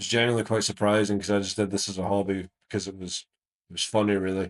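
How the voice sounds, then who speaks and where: Very fast and flat in a monotone, a man with an Irish accent speaks at a fairly low pitch. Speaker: YouTube video essayist. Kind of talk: casual outro to viewers; video essay commentary.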